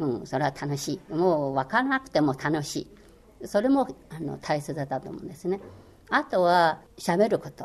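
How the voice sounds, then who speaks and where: Speaking with a Chinese accent, a woman uses a very deep, low pitch, very wide pitch swings and big swings in loudness. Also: moderate pace. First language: Chinese (speaking Japanese). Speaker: former Chinese language course instructor. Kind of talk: interview. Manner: hesitant, many fillers.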